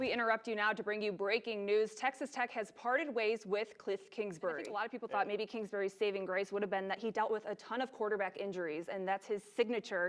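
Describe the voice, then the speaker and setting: A normal speaking voice from a woman, fairly high-pitched and fairly quick. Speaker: TV sports anchor and reporter. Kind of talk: TV sports news anchor read.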